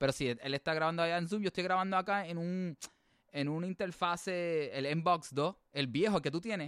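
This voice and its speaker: Recorded with a dry, close sound and no echo, a man speaks at a moderate pace and a high pitch. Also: ordinary pitch variation. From Puerto Rico, early childhood in US. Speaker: podcast co-host. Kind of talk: casual bilingual chat. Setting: remote recording.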